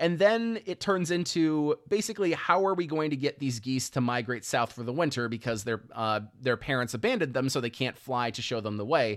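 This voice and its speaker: A man with a normal speaking voice, medium pitch, lively intonation and a fairly quick pace, with hardly any pauses. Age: 20s. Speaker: podcast host. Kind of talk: casual chat.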